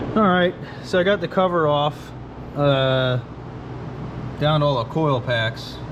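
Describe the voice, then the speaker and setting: Pausing long and often, a man with a fairly high pitch and ordinary pitch variation talks at a fairly slow pace in very even loudness, with audible room echo and noticeable background noise. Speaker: car mechanic vlogger. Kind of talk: casual vlog talk. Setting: workshop garage. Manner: casual, filler-heavy.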